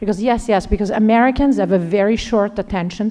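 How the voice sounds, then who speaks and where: In an Italian accent, a woman talks at a medium pitch with ordinary pitch variation. Noticeable background noise runs under her voice. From Italy, Lombardy. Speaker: finance executive. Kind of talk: interview at a leadership event. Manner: animated.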